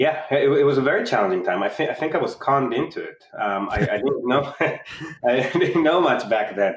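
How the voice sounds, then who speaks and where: A man with an Israeli accent, a fairly high pitch and very wide pitch swings, at a moderate pace with hardly any pauses. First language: Hebrew. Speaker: insurtech startup founder. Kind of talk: casual interview.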